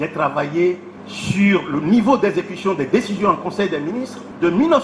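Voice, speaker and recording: A man's high-pitched voice with lively intonation, plus noticeable background noise. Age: 70s. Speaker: professor. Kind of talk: public speech.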